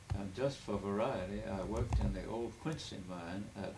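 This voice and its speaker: A man's fairly low voice with vocal fry and lively intonation, plus audible room echo. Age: 80s+. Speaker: family elder telling his life story. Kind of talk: oral history interview. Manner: halting.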